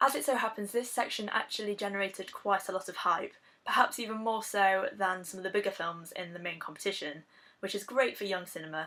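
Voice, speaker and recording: A fairly quick pace in an English accent, with ordinary pitch variation and big swings in loudness. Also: woman, medium pitch for a woman. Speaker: film reviewer. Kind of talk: video blog review. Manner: casual with frequent fillers.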